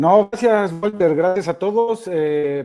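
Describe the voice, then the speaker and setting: A man with a Guatemalan accent speaks in a dark, mellow tone with lively intonation. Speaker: innovation speaker. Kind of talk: webinar presentation. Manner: hesitant, many fillers.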